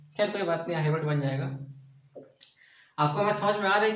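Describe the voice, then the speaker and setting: In a room with audible echo, a man with a fairly high pitch talks at a moderate pace and ordinary pitch variation. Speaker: math teacher. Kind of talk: tutorial. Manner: softer than usual, restrained.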